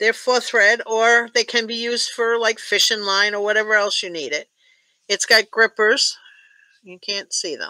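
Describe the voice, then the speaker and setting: A woman with a bright, sharp, fairly high voice speaks at a moderate pace with fairly even intonation, the sound dry with no echo and the background quiet. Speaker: tatting teacher. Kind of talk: online class. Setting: video call.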